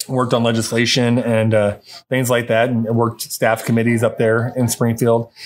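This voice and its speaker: A man with an American accent at a medium pitch, a moderate pace, very even loudness and monotone, flat intonation. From Southwestern Illinois (Wood River, St. Louis metro area). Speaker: executive director of a regional economic development organization. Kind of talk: interview. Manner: hesitant, many fillers and repeated words.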